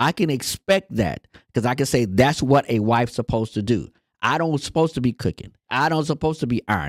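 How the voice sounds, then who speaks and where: A man's medium-pitched voice with vocal fry, lively intonation and a fairly quick pace, dry and close with no echo, on a very clean recording with a silent background. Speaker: marriage podcast co-host. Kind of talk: casual chat. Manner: soft-spoken.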